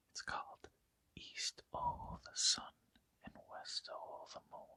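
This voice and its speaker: A whisper at a very slow pace. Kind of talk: ASMR folk tale reading. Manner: whispered.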